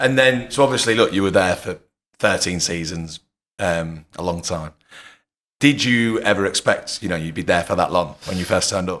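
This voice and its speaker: This man has a very deep, low pitch and an English Midlands accent, with ordinary pitch variation at a moderate pace. The recording is very clean, with a silent background. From England (Leicester). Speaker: podcast host. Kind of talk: casual podcast interview.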